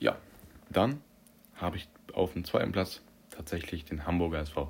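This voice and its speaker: Very deep, low pitch from a man, his intonation fairly even. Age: young. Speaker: podcast host. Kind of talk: solo sports commentary podcast. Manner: casual, with frequent fillers.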